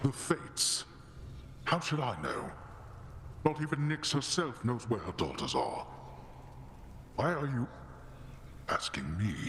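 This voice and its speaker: Using a put-on character voice at medium pitch, a man speaks at a moderate pace with long, frequent pauses over clear background noise. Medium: video game. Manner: stern, formal.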